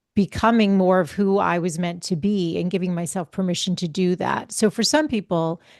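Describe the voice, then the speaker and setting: A woman talks at a fairly quick pace in an ordinary speaking voice, medium in pitch with fairly even intonation. The sound is dry and close with no echo, over a quiet background. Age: 50s. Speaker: holistic health coach and podcaster. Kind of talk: casual chat.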